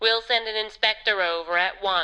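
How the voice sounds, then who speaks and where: A put-on character voice delivers its lines with fairly even intonation. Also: woman. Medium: video game. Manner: brisk, helpful.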